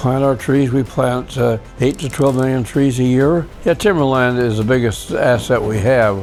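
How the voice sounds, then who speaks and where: This man's voice sits at a medium pitch. Behind his words, music plays. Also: ordinary pitch variation, moderate pace. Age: 80s+. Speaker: lumber company founder. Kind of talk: interview answer. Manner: halting, with many fillers.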